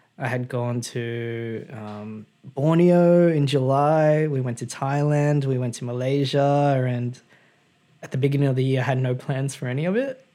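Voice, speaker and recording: A man with an Australian accent and a dark, mellow tone speaks at a fairly slow pace, his intonation fairly even. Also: medium pitch for a man. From Sydney, Australia. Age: 20s. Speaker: podcast guest. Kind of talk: casual chat.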